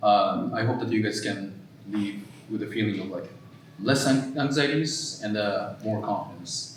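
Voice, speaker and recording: In a room with audible echo and noticeable background noise, a man speaks fairly slowly at a fairly low pitch with ordinary pitch variation. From Japan. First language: Japanese. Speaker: mental health therapist. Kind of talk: workshop presentation. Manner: halting, many fillers.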